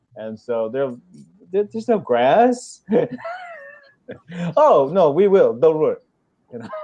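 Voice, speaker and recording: A man with a German accent speaks at a fairly slow pace in a fairly high pitch, leaving long, frequent pauses. His pitch swings very widely, and his loudness rises and falls in big swings. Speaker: chicken keeper, show host. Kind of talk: casual chat.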